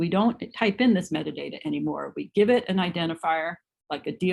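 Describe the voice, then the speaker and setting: The speech runs at a fairly quick pace with vocal fry. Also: woman. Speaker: professor. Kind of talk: lecture. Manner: fast.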